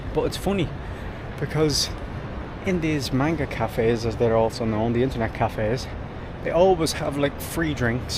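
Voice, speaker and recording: With an Irish accent, a man speaks at a medium pitch and moderate pace with ordinary pitch variation, over noticeable background noise. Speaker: travel vlogger. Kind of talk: casual vlog narration. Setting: outdoors walking on a street at night.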